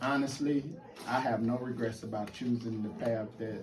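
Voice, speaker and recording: A man speaks with an American accent at medium pitch. Audible room echo surrounds his voice. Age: 60s. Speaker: postal carrier. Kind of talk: interview.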